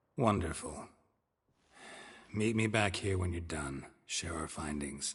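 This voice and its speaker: A man speaks at a fairly slow pace in a put-on character voice with a very deep, low pitch. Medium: video game. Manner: terse, deadpan, low-key.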